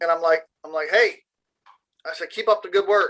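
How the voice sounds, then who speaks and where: A loud man's voice, high in pitch, at a moderate pace with ordinary pitch variation. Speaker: tradesman, shop worker. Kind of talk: casual chat. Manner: animated storytelling.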